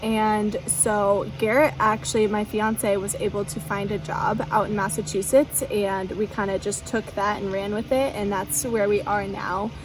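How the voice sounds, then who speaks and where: A woman with an American accent at medium pitch, fairly slow and with hardly any pauses, her intonation fairly even, music playing in the background. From US Pacific Northwest, near Portland, Oregon. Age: 20s. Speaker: lifestyle vlogger. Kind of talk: casual chat. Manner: casual, filler-heavy.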